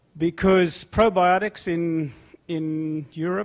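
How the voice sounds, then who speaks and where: The speaker has a South African accent and fairly even intonation, and the recording is very clean with a silent background. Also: man. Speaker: food company executive. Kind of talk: conference panel discussion.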